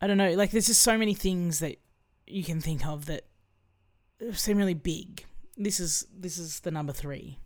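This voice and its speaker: A woman with an Australian accent, fairly low-pitched, at a moderate pace with ordinary pitch variation and long, frequent pauses. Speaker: musician. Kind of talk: casual chat.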